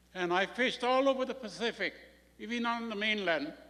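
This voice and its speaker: A man's raised, projected voice with a bright, sharp tone, at a moderate pace and with ordinary pitch variation. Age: 80s+. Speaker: retired fisherman giving public comment. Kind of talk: public meeting testimony.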